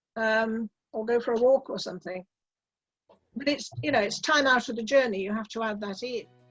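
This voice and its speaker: A woman's fairly high voice at a fairly quick pace, broken by long, frequent pauses, with ordinary pitch variation and music in the background. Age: 70s. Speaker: electric car driver. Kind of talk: interview.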